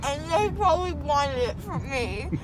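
There is loud background noise as a woman speaks, though the sound itself is dry with no echo. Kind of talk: emotional casual chat. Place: car. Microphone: phone near.

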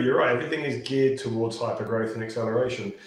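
A man with a British accent, with audible room echo. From UK. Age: 40s. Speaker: sales and pitching coach. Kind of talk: podcast interview. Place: home room. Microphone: video call.

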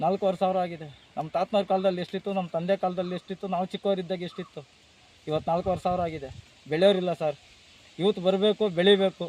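A man speaks in a high voice with flat, monotone intonation, and the sound is dry and close with no echo. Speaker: farmer. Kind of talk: interview.

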